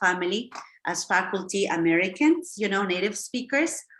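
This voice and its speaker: A woman at a moderate pace and medium pitch, with a Spanish accent and lively intonation. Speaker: English teacher, language school founder. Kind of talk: online lesson. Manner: many fillers and restarts.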